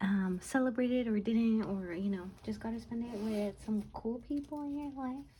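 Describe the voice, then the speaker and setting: A soft-spoken woman with a dark, mellow tone and a somewhat breathy quality talks at a moderate pace and fairly high pitch, with ordinary pitch variation and hardly any pauses. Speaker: budgeting YouTuber. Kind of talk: casual chat. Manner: hesitant, many fillers.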